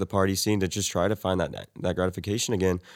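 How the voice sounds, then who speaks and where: A man's fairly low voice with an American accent at a very fast pace, on a very clean recording with a silent background. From Texas. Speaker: college student. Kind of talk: casual chat.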